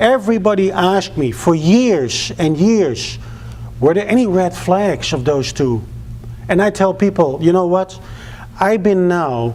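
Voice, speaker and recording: Lively intonation with a Dutch accent, over noticeable background noise. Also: man. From Netherlands. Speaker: public speaker, former flight school owner. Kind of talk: public speech.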